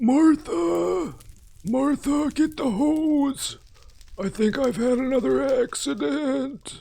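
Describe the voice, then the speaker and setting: In a put-on character voice at an extremely high pitch, a man speaks very slowly with lively intonation. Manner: flustered.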